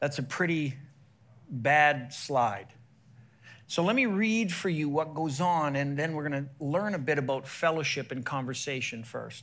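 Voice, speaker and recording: There is audible room echo around a man's fairly high voice. He talks at a fairly slow pace with ordinary pitch variation. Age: 50s. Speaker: sports chaplain and evangelist. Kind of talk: sermon. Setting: church stage with audience. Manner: animated.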